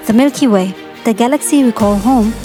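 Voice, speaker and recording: A woman speaks in a fairly high voice with ordinary pitch variation while music plays in the background. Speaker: voiceover narrator. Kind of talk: documentary narration. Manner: clear, awed.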